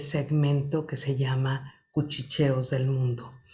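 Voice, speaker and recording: A woman speaks in a somewhat breathy voice. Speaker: oral storyteller. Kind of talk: host introduction to camera.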